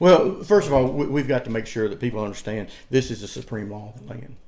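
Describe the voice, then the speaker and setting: With a Southern US accent, a man talks at a fairly quick pace. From US South, North Carolina (Cleveland County). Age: 60s. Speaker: political candidate. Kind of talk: interview. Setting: at his farm. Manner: fast; repetitive, stammering.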